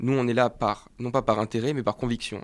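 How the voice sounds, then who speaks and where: On a very clean recording with a silent background, a man speaks at a medium pitch and a moderate pace with monotone, flat intonation. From France, Var (Provence). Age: 20s. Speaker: political youth campaigner. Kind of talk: political interview.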